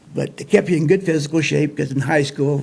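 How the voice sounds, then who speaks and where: A man with an American accent talks at a fairly quick pace in a somewhat breathy, fairly high voice. His pitch varies in an ordinary way. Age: 60s. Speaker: show host telling life stories. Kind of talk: casual storytelling monologue. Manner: folksy, relaxed.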